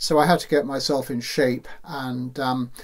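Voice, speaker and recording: With a British accent, a man talks at a fairly slow pace in a medium pitch. His intonation is fairly even, and there is noticeable background noise. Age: 60s. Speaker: ocean rower. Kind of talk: personal account. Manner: halting, many fillers.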